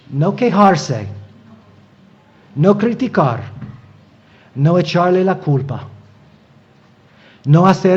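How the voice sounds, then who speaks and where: A man with a non-native accent speaks at a very slow pace. His pitch swings very widely, and audible room echo surrounds him. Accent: non-native Spanish accent (own remark). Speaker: preacher, Bible teacher. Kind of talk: sermon. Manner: halting, many fillers and repetitions.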